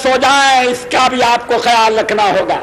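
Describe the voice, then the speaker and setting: A man speaks in a raised, projected voice at an extremely high pitch, his intonation monotone and flat. Noticeable background noise runs behind him. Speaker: politician. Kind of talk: political rally speech. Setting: outdoor rally, public address. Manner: oratorical, powerful.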